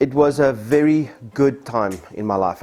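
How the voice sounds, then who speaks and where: There is noticeable background noise as a man speaks with a South African accent. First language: Afrikaans. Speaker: church member. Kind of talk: testimony.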